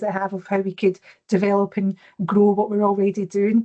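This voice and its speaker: A woman speaks with a Glaswegian accent, recorded dry and close with no echo. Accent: Glaswegian Scottish. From Scotland, Glasgow. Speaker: corporate social impact lead. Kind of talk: presentation. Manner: fast.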